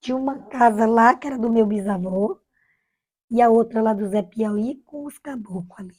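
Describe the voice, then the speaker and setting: A woman talks in a normal speaking voice at a fairly high pitch and moderate pace, with ordinary pitch variation and big swings in loudness. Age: 60s. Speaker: retired village schoolteacher. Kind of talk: oral history interview. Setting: at home.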